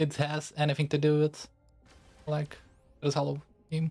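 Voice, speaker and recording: Music plays in the background as a man with a Lithuanian accent speaks at a moderate pace and a fairly high pitch. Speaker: VTuber game streamer. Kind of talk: casual livestream chat. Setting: livestream. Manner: casual, halting with fillers.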